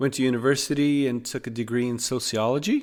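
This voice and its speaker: With fairly even intonation, a man speaks in a Norwegian accent. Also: very clean recording, silent background. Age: 40s. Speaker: podcaster, social worker. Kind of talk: podcast monologue. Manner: halting, many fillers.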